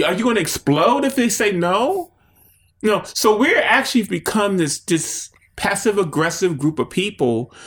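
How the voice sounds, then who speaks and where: With an animated tone and very wide pitch swings, a man speaks at a high pitch. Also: very clean recording, silent background. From Baltimore, Maryland (inner city). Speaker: visual artist. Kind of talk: interview. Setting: artist's studio.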